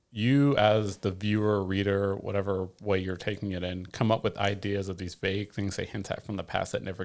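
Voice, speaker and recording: In an American accent, a man with an unremarkable speaking voice talks fairly quickly and in a fairly low pitch, with fairly even intonation and hardly any pauses, on a very clean recording with a silent background. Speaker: podcast co-host. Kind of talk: casual chat.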